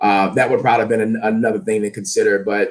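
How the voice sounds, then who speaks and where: This man has an American accent and ordinary pitch variation. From US South, New Orleans, Louisiana. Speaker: fitness and leadership coach. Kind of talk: interview. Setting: live stream. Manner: loud; high energy.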